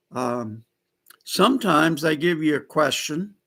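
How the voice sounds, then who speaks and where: A man speaks loudly at a fairly slow pace. His tone is bright and sharp, on a very clean recording with a silent background. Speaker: political vlogger. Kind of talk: live stream monologue. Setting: live stream. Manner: halting, many fillers.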